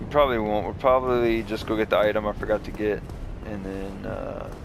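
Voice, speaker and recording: A fairly low-pitched man at a fairly quick pace amid noticeable background noise. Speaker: gaming youtuber. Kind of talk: let's play commentary. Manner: quiet.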